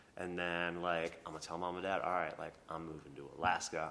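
A very deep, low male voice with a bright, sharp tone and an American accent, in audible room echo. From Minnesota. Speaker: chef. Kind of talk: casual interview chat.

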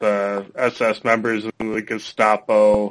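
With an American accent, this man's voice sits at a medium pitch. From Minnesota. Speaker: podcast host. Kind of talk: casual chat.

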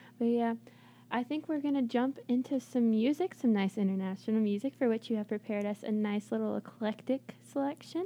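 A plain, everyday voice moves at a fairly quick pace with ordinary pitch variation. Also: woman, fairly high pitch for a woman. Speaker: college radio DJ. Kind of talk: casual chat. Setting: studio.

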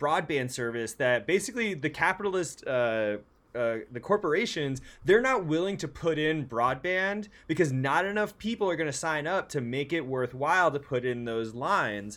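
Captured in a very clean recording with a silent background, a man with an ordinary speaking voice talks at a fairly high pitch. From San Francisco, US West Coast. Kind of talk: casual chat.

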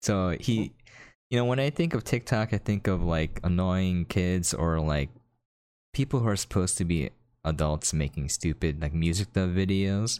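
On a very clean recording with a silent background, a man with a very deep, low voice uses lively intonation at very even loudness. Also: moderate pace. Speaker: podcast host and content creator. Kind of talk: casual chat.

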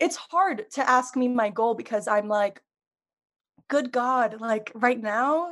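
A woman with an American accent speaks very slowly in a high voice. Her loudness stays very even. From US Northeast, Long Island, New York. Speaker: podcast producer and video editor. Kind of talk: casual chat.

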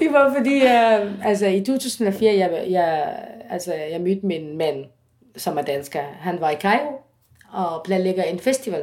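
Speaking very slowly in an Arabic accent, a woman uses a medium pitch with very wide pitch swings. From Egypt. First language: Arabic (speaking Danish). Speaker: singer. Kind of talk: interview. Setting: at home. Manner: halting.

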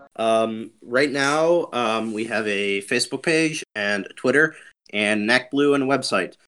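In a very clean recording with a silent background, a man with an ordinary speaking voice talks at a medium pitch. His pace is fairly slow and his pitch variation ordinary. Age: young. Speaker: campaign manager. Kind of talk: podcast interview.

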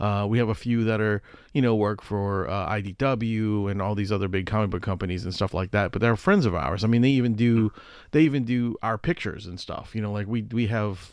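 A man with an unremarkable speaking voice, fairly low in pitch with ordinary pitch variation, talks against a quiet background. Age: 40s. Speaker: podcast host. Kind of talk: casual chat.

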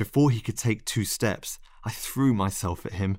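Pitch varies by ordinary amounts as someone reads in an unforced reading voice.

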